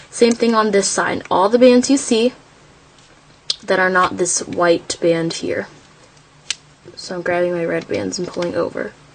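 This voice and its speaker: Over noticeable background noise, a woman speaks fairly slowly at medium pitch, with ordinary pitch variation and long, frequent pauses. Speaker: craft tutorial creator. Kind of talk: tutorial.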